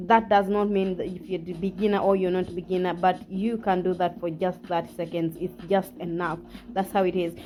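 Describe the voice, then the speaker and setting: With a non-native accent, a woman keeps a moderate pace. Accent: non-native English, self-described imperfect. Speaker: fitness vlogger. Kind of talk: workout tutorial. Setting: at home. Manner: halting, frequent self-corrections; casual, encouraging.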